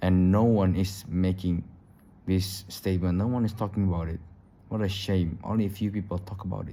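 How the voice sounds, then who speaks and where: Very deep and low, a man's voice moves at a fairly quick pace in a flat monotone. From Indonesia. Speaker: YouTuber. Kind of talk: casual vlog monologue. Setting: recording at home late at night. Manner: halting, repetitive.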